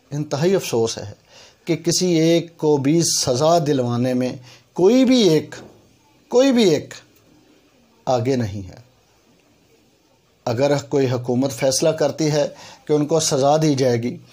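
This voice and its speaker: With lively intonation, a man speaks in a fairly high pitch and a dark, mellow tone. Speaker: YouTube commentator. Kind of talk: emotional appeal to authorities.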